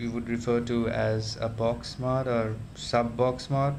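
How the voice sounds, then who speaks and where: A man talks at a very slow pace with monotone, flat intonation. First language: not English. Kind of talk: casual talk to camera. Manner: hesitant, many fillers.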